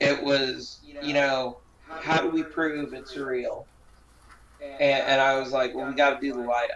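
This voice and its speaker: A man's fairly slow, fairly even speech is heard with noticeable background noise. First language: not English. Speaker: sideshow performer. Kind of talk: casual chat. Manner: halting.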